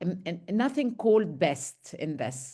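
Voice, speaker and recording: The speaker has an Arabic accent, heard over a quiet background. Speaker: medical education trainer. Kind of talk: lecture Q&A.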